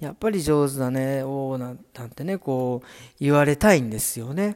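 A man with an unremarkable speaking voice talks at a moderate pace in a fairly high pitch. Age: 40s. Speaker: hairdresser. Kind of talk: casual solo podcast. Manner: casual, chatty.

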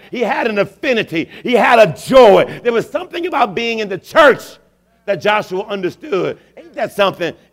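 A high-pitched man's voice, animated in tone, with lively intonation. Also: moderate pace. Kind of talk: sermon with call-and-response, rousing altar-call preaching. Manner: animated, exhortative, rhythmic, urging the congregation to respond; emphatic, repeating phrases for effect, builds to celebratory exclamations.

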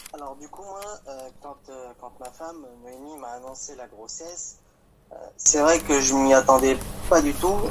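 Against noticeable background noise, a man with a fairly high pitch speaks fairly slowly, with ordinary pitch variation, big swings in loudness, and long, frequent pauses. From France, Champagne-Ardenne. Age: 20s. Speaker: father sharing his experience. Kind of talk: testimony. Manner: halting.

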